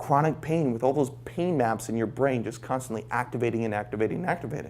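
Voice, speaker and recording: There is vocal fry in this man's medium-pitched voice, which has an animated tone and ordinary pitch variation. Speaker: brain training coach giving a talk. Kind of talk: live talk to audience. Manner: fast.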